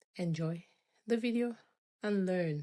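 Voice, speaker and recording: Dark and mellow in tone, a woman speaks at a moderate pace with ordinary pitch variation in a very clean recording with a silent background and a dry, close sound with no echo. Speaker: hair braider. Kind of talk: tutorial voiceover. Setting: voiceover recording. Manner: casual, unscripted.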